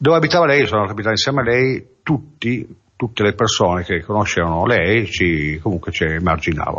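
A man talks with very wide pitch swings and very even loudness. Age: 50s. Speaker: recovering addict giving testimony. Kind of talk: testimony. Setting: radio studio. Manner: halting.

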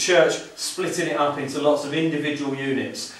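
A man at a moderate pace, fairly even in intonation, with audible room echo. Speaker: house guide. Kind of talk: guided tour talk. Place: home room. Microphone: camera far.

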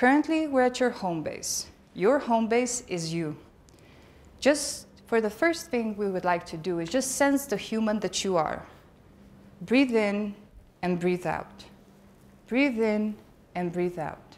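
The voice has a calm, soothing tone and lively intonation, broken by long, frequent pauses. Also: woman, fairly high pitch for a woman. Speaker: conference speaker. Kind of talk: conference talk, with a guided meditation stretch; guided meditation. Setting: stage with audience. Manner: calm, slow, soothing instructions; conversational, humorous. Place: hall.

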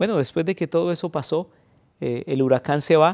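A man talks at a very fast pace in a fairly high voice with ordinary pitch variation, over a quiet background. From Colombia. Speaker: pastor. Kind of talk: testimony. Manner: halting with frequent fillers. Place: studio.

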